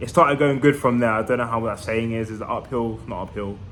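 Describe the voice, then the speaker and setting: A man with a London accent, a bright, sharp tone and a fairly quick pace. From East London, England. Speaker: vlogger. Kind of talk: casual vlog monologue. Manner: fast.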